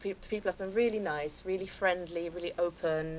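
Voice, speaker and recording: The speaker is a woman with an English accent. She talks at a very fast pace. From England (London). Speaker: actress. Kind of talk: talk show interview.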